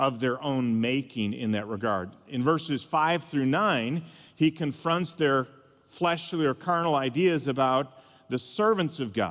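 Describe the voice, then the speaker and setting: A man speaks at a fairly high pitch in an ordinary speaking voice. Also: very clean recording, silent background. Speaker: pastor and conference speaker. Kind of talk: sermon. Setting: conference stage with audience.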